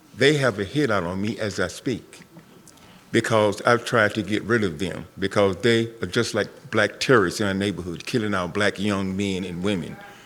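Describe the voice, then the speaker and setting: A man with a North Carolina accent, fairly low in pitch, at a moderate pace with ordinary pitch variation. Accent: Southern US, North Carolina. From US South. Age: 70s. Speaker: community member, Vietnam veteran. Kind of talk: public forum comment. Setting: school forum with audience.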